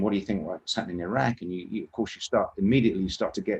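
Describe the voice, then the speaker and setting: The speaker is a man with an English accent. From England. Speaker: interviewee recounting work in a war zone. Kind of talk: interview storytelling. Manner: halting, frequent repetitions and restarts.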